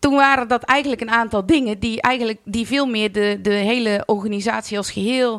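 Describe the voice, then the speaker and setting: A woman's fairly high voice at a moderate pace with ordinary pitch variation. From Netherlands, North Brabant (Vught). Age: 40s. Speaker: carnival club president. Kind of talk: podcast interview. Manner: hesitant, many filler words.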